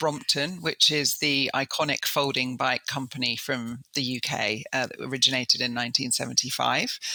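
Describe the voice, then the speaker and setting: Speaking with an English accent, a woman keeps a moderate pace. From Southeast England. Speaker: business executive. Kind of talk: interview. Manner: many fillers and hesitations.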